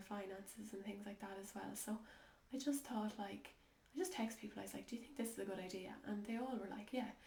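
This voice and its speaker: A woman speaks with an Irish accent. Noticeable background noise runs behind her. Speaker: holistic life coach. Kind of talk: casual talk to camera. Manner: slow, hesitant.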